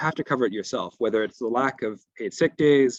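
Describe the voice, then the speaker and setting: With a dry, close sound and no echo, a man talks at a very fast pace using ordinary pitch variation. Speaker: panel speaker, union activist. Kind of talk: panel presentation.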